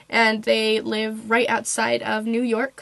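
A woman talks with noticeable background noise present. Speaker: book reviewer. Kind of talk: casual book review to camera.

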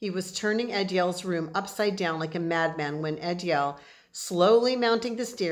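Someone is reading aloud in a natural voice, the pitch moving in an ordinary way.

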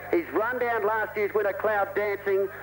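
A man with an Australian accent over noticeable background noise. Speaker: race caller. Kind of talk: live commentary. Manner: excitable.

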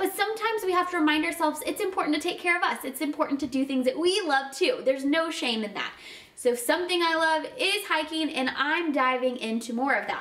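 A woman talks at a very fast pace with an extremely high pitch. Her intonation is lively. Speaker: channel host. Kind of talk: casual vlog chat. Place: home room.

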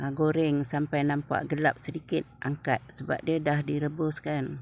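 A woman talks at a fairly slow pace in a very deep, low pitch with monotone, flat intonation. The sound is dry with no echo. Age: old. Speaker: cooking vlogger. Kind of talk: cooking tutorial. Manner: casual. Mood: relaxed, friendly. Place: kitchen. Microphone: phone near.

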